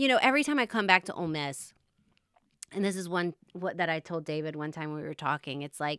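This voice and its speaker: Loud and very fast, a woman speaks in a bright, sharp tone with lively intonation, the recording very clean with a silent background and the sound dry and close with no echo. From Louisiana, Baton Rouge. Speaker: eating disorder advocate. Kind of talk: interview.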